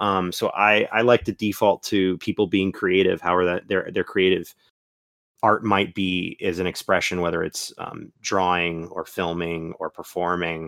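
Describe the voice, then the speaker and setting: In a Florida accent, a man speaks with a very deep, low pitch and monotone, flat intonation. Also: moderate pace. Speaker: guest host. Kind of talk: casual chat.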